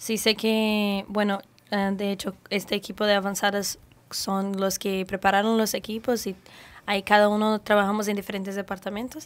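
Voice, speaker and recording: Speaking at a moderate pace with a Brazilian accent, a woman uses a medium-pitched voice with monotone, flat intonation. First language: Portuguese (speaking Spanish). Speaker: ship crew member; guest. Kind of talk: radio interview. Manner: halting. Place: studio. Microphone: studio mic.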